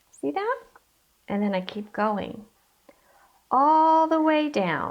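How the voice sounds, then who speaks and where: A woman's high voice with very wide pitch swings, at a very slow pace. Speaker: art teacher. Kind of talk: tutorial.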